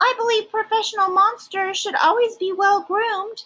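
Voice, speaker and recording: A woman does a squeaky, put-on character voice at an extremely high pitch. Her pace is moderate. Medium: read story. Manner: polished, polite.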